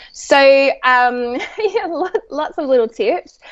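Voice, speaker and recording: A woman with an Australian accent speaks with very wide pitch swings. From Australia, Sydney. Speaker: psychologist and children's author. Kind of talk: podcast interview.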